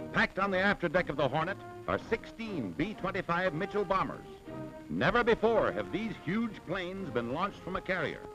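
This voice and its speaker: With music in the background, a man speaks in a high pitch at a fairly quick pace, using a dramatic tone and lively intonation. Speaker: newsreel commentator. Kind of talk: wartime newsreel narration. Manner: dramatic, emphatic.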